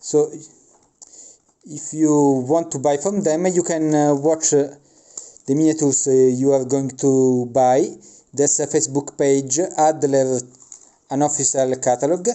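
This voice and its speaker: A man's fairly high voice at a fairly slow pace, with fairly even intonation and long, frequent pauses. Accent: non-native. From Italy. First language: Italian. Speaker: miniature wargaming hobbyist. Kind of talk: unboxing review. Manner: halting, many filler sounds.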